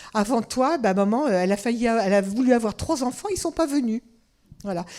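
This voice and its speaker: This woman speaks at a fairly quick pace with lively intonation. Her fairly high voice carries a dark, mellow tone. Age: 70s. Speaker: family constellations therapist and lecturer. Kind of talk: interactive lecture with audience questions. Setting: conference with live audience. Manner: conversational.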